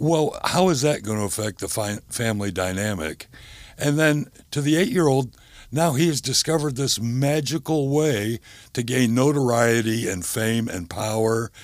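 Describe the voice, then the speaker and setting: On a very clean recording with a silent background, a man with a medium pitch uses a normal speaking voice at a moderate pace. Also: lively intonation. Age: 60s. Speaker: gambling addiction counselor. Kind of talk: interview.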